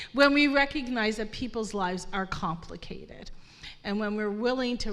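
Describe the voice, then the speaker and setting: A woman at a moderate pace with ordinary pitch variation, in audible room echo. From Nova Scotia, African Nova Scotian community. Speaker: panelist on poverty and mental health. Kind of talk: panel discussion. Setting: stage with live audience. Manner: animated.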